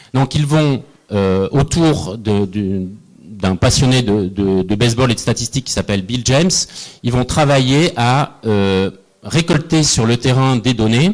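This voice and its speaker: A man talks at medium pitch and a very slow pace with lively intonation. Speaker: innovation analyst, panelist. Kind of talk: panel talk. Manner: hesitant, many fillers.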